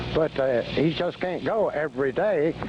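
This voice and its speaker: Very wide pitch swings from a man at a moderate pace, with noticeable background noise. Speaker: caller. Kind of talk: call-in talk radio interview.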